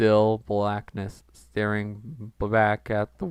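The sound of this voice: An unforced reading voice throughout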